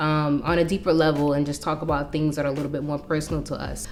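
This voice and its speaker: Against noticeable background noise, a woman speaks in a very deep, low voice. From New York City. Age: 30s. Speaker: lifestyle vlogger. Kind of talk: casual chat.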